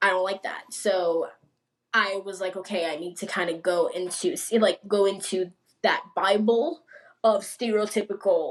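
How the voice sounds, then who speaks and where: The speaker is a woman. She talks at a medium pitch. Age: young. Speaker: filmmaker. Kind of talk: interview answer. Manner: fast.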